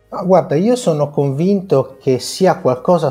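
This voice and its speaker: Noticeable background noise behind a man talking with ordinary pitch variation. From Italy, La Spezia (Liguria). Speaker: business networking executive. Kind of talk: interview. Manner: halting, with many repetitions.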